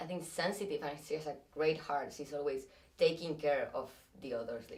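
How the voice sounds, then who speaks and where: A woman with a Spanish accent. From Spain. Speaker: actress. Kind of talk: interview. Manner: halting.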